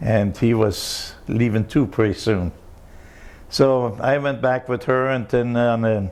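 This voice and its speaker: The speech comes with a German accent and fairly even intonation. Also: man. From Germany, East Prussia. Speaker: war refugee and oral history interviewee. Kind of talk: life history interview. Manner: halting.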